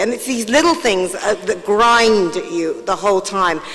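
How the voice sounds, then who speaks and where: Noticeable background noise is present throughout. Over it, a woman with a fairly high pitch talks at a moderate pace. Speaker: panelist. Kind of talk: panel discussion.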